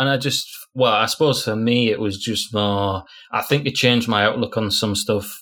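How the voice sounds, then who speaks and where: At a moderate pace, a man with a northern English accent speaks in a bright, sharp, medium-pitched voice with fairly even intonation. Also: very clean recording, silent background. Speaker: podcast co-host. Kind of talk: casual chat.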